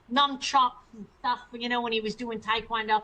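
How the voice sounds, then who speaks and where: A woman's high-pitched voice. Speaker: former prisoner and chiropractor. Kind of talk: interview testimony.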